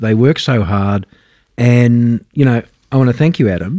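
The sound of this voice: A man speaks at a medium pitch in a slightly mellow tone.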